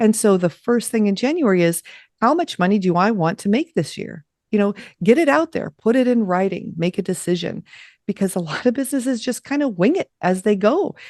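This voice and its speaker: This is a normal speaking voice with an American accent, delivered at a fairly quick pace with lively intonation. The sound is dry and close with no echo, and the background is quiet. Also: woman, medium pitch for a woman. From Los Angeles, US West Coast. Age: 50s. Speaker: podcast host and business coach. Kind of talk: interview.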